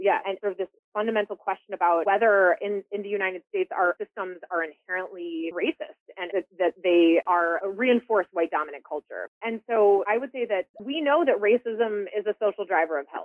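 Speaking at a moderate pace with an American accent, this voice has ordinary pitch variation and hardly any pauses. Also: woman, medium pitch for a woman. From US Midwest, Chicago. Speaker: public health executive. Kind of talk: interview. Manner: halting, many fillers and repeats.

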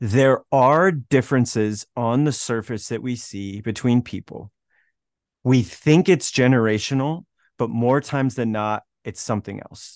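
At a fairly slow pace, a man talks in an unremarkable speaking voice with ordinary pitch variation. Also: medium pitch for a man. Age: young. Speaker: learning educator and workshop facilitator. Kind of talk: casual interview.

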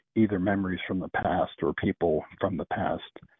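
With an American accent, a man with an unremarkable speaking voice and fairly low pitch talks at a moderate pace. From Pennsylvania. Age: 60s. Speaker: caller. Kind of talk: casual phone chat. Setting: phone call.

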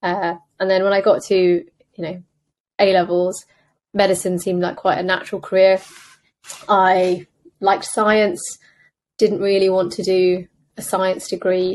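With a British accent and monotone, flat intonation, a woman at medium pitch speaks at a moderate pace with long, frequent pauses against a quiet background. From England, UK. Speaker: consultant radiologist and startup founder. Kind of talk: interview conversation.

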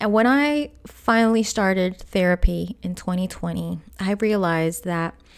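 The speaker is soft-spoken. Pitch varies in an ordinary way. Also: woman. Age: 30s. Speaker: podcast host and abuse survivor. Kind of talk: solo monologue about personal experience. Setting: solo podcast. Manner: soft-spoken, articulate.

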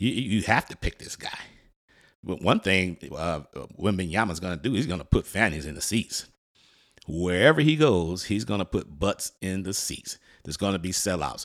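Deep and very low in pitch, a man with an American accent speaks at a moderate pace in an animated tone with lively intonation. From Detroit, US Midwest. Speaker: sports podcast host. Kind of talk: casual monologue.

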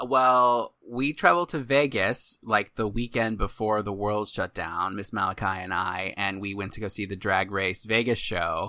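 With hardly any pauses and a moderate pace, a man speaks in a fairly low pitch with a bright, sharp tone and ordinary pitch variation, captured in a very clean recording with a silent background. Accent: American. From Arizona. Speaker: podcast host. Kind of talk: casual chat.

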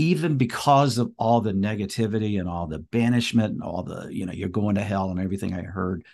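A plain, everyday voice from a man with an American accent, fairly low in pitch, lively in intonation, at a moderate pace against a quiet background. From US South, North Carolina. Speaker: priest and speaker. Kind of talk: interview testimony.

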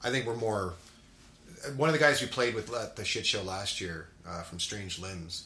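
A man in a plain, everyday voice speaks at a moderate pace, his fairly low pitch carried by lively intonation. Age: 40s.

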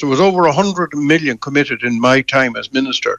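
In an Irish accent, the speaker moves at a fairly quick pace with a bright, sharp tone and ordinary pitch variation, the sound dry and close with no echo. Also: man. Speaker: politician, former government minister. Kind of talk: radio interview.

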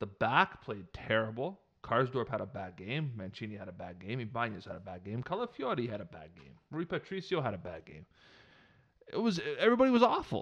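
In a Canadian accent, a man speaks at a fairly quick pace in an animated tone, his pitch swinging very widely and his loudness rising and falling in big swings. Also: medium pitch for a man. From Canada. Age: 30s. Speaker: football podcast host. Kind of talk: casual chat.

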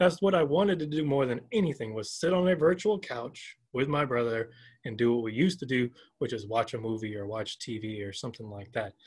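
On a very clean recording with a silent background, a man with an American accent speaks at a fairly quick pace in a medium pitch, somewhat breathy and with lively intonation. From US South, Georgia. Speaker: professor. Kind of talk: interview.

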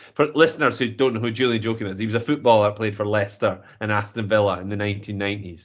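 A man is speaking at a medium pitch. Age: 40s. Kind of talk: casual chat. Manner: animated.

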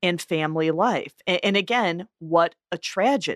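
Very clean recording with a silent background and a dry, close sound with no echo, a woman in an unremarkable speaking voice at a fairly low pitch, fairly slow pace and ordinary pitch variation. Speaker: podcast co-host. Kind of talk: casual podcast discussion. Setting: studio.

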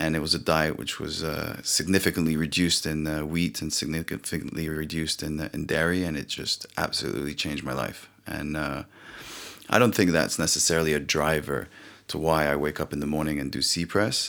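With vocal fry and fairly even intonation, a man speaks fairly quickly in a very deep, low voice. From France. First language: French. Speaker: company founder. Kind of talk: casual interview. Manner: halting, many fillers.

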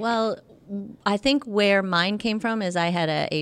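Very clean recording with a silent background of a woman with a plain, everyday voice, at a fairly slow pace with ordinary pitch variation. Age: 50s. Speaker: personal trainer. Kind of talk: casual chat.

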